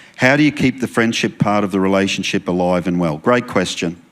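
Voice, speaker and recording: A man with an Australian accent. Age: 60s. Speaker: pastor. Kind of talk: marriage Q&A talk in church service.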